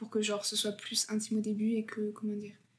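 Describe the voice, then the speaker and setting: At a fairly quick pace, a woman speaks in a somewhat breathy, fairly high-pitched voice. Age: 20s. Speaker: law student. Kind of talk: casual chat.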